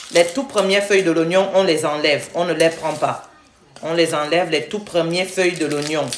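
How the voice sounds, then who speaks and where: Noticeable background noise and audible room echo behind a woman with a fairly low pitch, fairly even intonation and a non-native accent. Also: moderate pace. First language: not French (speaking French). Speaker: health and weight-loss vlogger. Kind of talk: cooking tutorial livestream. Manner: casual, halting.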